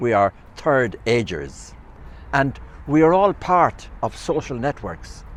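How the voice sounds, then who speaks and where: A man with an Irish accent, speaking fairly slowly with very wide pitch swings. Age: 80s+. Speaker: retired community advocate. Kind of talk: public talk.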